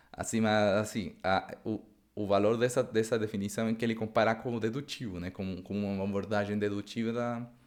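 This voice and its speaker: A man with a Spanish accent talks at a moderate pace in a fairly low pitch. His intonation is monotone and flat, on a very clean recording with a silent background. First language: Spanish (speaking Portuguese). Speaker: Bible study teacher. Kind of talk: lecture. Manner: halting, many repetitions; casual, improvised.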